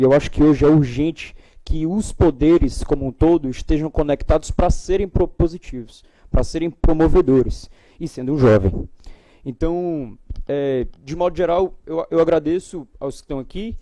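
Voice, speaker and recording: The man's voice sits fairly high in pitch with a dark, mellow tone, ordinary pitch variation, and a moderate pace. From Brazil, Ceará. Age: young. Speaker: institute director, panel speaker. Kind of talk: panel talk. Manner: hesitant, many fillers.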